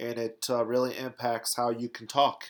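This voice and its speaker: A man's put-on character voice, nasal and medium-pitched, monotone and flat, at a moderate pace. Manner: speaking with plugged nose.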